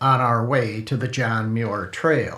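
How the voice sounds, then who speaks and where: A man at a very slow pace. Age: 70s. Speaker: author reading own story. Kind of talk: reading aloud.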